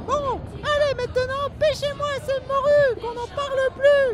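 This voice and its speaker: Over noticeable background noise, a put-on character voice at an extremely high pitch moves along at a fairly slow pace. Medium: short film. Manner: shouting, bossy.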